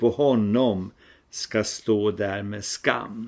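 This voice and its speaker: The recording is very clean with a silent background, and the speech moves at a very slow pace. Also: man. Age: old. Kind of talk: devotional talk.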